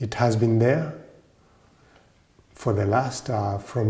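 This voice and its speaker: A man speaks at a fairly slow pace with a Kenyan accent and a medium pitch. His tone is dark and mellow, and somewhat breathy. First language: Kikuyu. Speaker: Orthodox priest and monk. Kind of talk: interview monologue. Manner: hesitant, with fillers.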